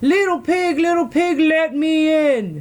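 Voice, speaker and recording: A loud, high-pitched, put-on character voice growls at a fairly slow pace. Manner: growling.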